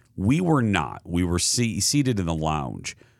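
Fairly slow in pace, a man speaks with lively intonation. The recording is very clean, with a silent background. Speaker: podcast host, TV and radio host. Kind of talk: casual chat.

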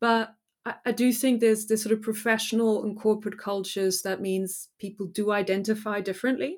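A woman with a German accent speaks fairly quickly at a fairly high pitch with fairly even intonation, on a very clean recording with a silent background. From Germany. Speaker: historian and author. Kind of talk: academic interview.

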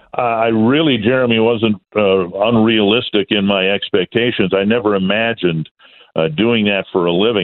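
A man's plain, everyday voice, fairly low in pitch with ordinary pitch variation, at a moderate pace with an American accent. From Minnesota. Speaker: baseball play-by-play announcer. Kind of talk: radio interview.

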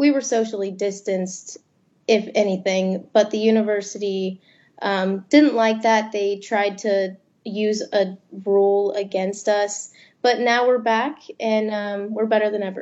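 In an American accent, a woman speaks at a fairly slow pace with a medium pitch and monotone, flat intonation. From Florida, army brat. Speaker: student journalist. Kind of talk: interview.

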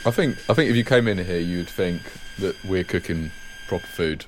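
Fairly quick speech from a man with a very deep, low pitch, amid noticeable background noise. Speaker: school head chef. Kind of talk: documentary interview. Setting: school kitchen.

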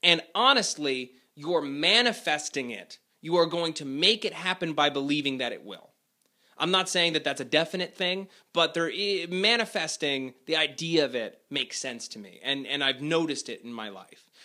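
A man speaks at a moderate pace with fairly high pitch, a bright, sharp tone and big swings in loudness. His delivery is animated, with lively intonation, on a very clean recording with a silent background. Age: 20s. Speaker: advice podcast host. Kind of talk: casual advice monologue.

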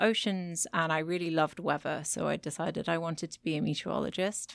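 A woman with a British accent and a fairly low pitch talks at a very fast pace on a very clean recording with a silent background. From Britain. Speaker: micropaleontologist. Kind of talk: interview. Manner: animated.

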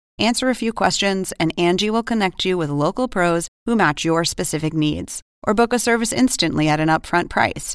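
Upbeat in tone, a woman speaks at medium pitch with very wide pitch swings and a moderate pace. The sound is dry and close with no echo, the recording very clean, the background silent. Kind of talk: sales pitch. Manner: polished, upbeat, brisk ad-read.

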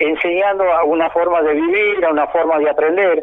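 There is noticeable background noise. A man talks at a moderate pace in a high pitch. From Argentina, Santiago del Estero. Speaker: folk dancer and dance teacher. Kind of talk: interview. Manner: halting, with frequent repetitions.

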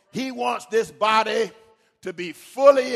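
Animated in tone, a man speaks at a fairly slow pace with very wide pitch swings. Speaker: preacher. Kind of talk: sermon. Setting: church. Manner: animated, rhythmic, exhorting the congregation with call-and-response; emphatic, building with repeated phrases.

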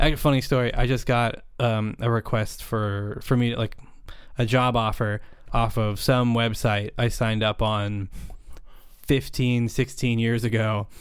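A man's normal speaking voice in an American accent, medium in pitch, at a fairly slow pace. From US West Coast, Napa Valley, California. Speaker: underwater cinematographer. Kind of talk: casual chat.

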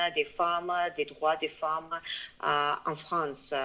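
A woman's fairly low voice carries a bright, sharp tone. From Tajikistan, Dushanbe. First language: Tajik or Russian (speaking French). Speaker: feminist activist. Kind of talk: interview. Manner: halting, many hesitations.

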